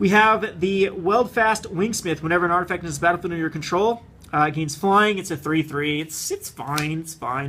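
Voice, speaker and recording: A man's fairly high voice with ordinary pitch variation and a fairly quick pace, in a very clean recording with a silent background. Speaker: card game youtuber. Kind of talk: product unboxing commentary. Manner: fast; rambling, casual.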